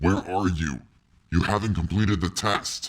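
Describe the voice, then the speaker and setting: Putting on a character voice, a man talks very deep and low at a moderate pace. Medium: audio drama. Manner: cold, clipped, robotic.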